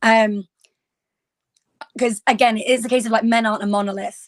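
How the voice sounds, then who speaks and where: In a British accent, a woman speaks at a fairly quick pace. Her intonation is fairly even. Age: 20s. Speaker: podcast panel guest. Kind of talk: panel discussion.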